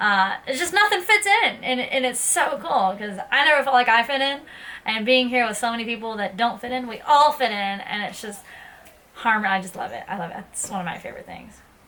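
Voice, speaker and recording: A woman with a Southern US accent speaks fairly quickly at a high pitch with lively intonation over noticeable background noise. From US South, Tennessee (Ashland City). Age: 20s. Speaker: vlogger. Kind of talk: casual talk to camera.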